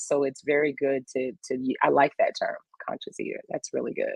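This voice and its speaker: A Louisiana accent at a moderate pace. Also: woman. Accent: Louisiana Southern US. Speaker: health and wellness guest. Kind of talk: casual chat.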